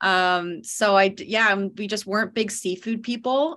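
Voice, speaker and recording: A woman with a Canadian accent speaks at a medium pitch with ordinary pitch variation against a quiet background. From Ontario, Canada (London). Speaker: communications manager for an industry association. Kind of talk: podcast interview.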